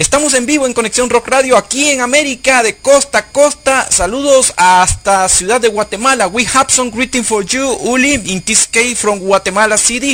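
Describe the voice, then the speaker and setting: Over music in the background, a man with an extremely high pitch talks at a fairly quick pace with ordinary pitch variation and hardly any pauses. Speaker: radio host. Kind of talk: live radio interview.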